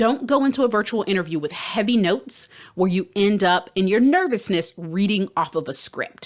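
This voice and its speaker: This is a normal speaking voice with lively intonation at a moderate pace. The background is quiet. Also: woman. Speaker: career coach and podcast host. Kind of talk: podcast tutorial.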